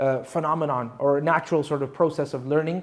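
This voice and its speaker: A man with a Canadian accent and an unremarkable speaking voice, fairly high in pitch, fairly quick, with fairly even intonation. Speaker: Islamic scholar, Quran teacher. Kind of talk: lecture. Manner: conversational.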